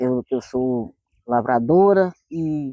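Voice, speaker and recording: A woman's dark, mellow tone swings very widely in pitch, recorded with a dry, close sound with no echo over a quiet background. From rural Minas Gerais, Brazil. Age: 50s. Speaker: retired farmer, quilombo resident. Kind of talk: documentary interview testimony.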